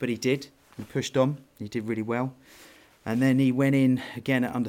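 He is a man with a southern English accent. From southern England (Worthing, West Sussex). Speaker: business owner and football parent. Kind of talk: casual interview.

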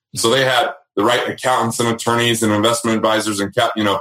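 A man speaks with an American accent. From Utah, small coal mining town. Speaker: wealth management founder and author. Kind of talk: interview. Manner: animated.

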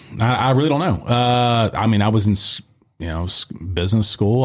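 In a very clean recording with a silent background, a man speaks in a fairly low, somewhat breathy voice with ordinary pitch variation. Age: 40s. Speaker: martial arts gym owner and former MMA fighter. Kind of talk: casual interview. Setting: studio.

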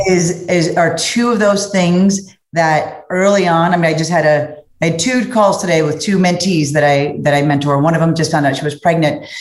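A woman with a fairly low pitch and an American accent speaks at a moderate pace with ordinary pitch variation amid audible room echo. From US Midwest, Cincinnati, Ohio. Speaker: corporate sales executive. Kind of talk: interview conversation.

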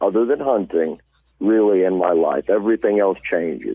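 In an American accent, a man with an unremarkable speaking voice talks at a moderate pace and a fairly low pitch. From Missouri Ozarks, near Poplar Bluff. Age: 20s. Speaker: tournament bass angler. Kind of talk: interview.

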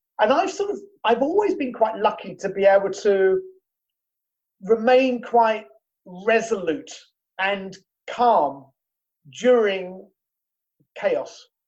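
A man's high voice in a British accent, very slow, with lively intonation and long, frequent pauses. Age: 50s. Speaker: business owner. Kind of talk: interview. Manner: halting.

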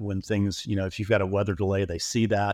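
A man talks with a Southern US accent at a fairly quick pace. The sound is dry and close with no echo. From Alabama. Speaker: custom home builder. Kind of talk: casual interview.

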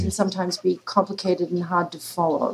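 A woman with an Australian accent. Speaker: political science professor. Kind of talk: interview.

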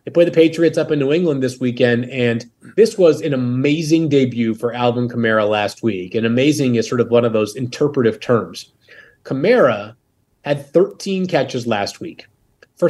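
Using an ordinary speaking voice, a man speaks at medium pitch and a moderate pace. His intonation is lively. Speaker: fantasy football analyst. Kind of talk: casual chat.

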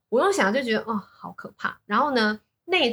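A woman with a Taiwanese accent, fairly high pitch, very wide pitch swings and a bright, sharp tone. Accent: Taiwanese Mandarin. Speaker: business executive. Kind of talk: casual interview chat.

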